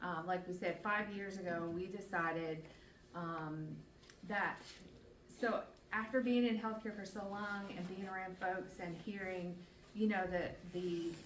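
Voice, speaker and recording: A woman's medium-pitched voice, fairly slow with long, frequent pauses and fairly even intonation, in audible room echo and noticeable background noise. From Newfoundland, Canada. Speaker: patient advocate and nurse. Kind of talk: presentation to community group. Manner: chatty, with frequent fillers.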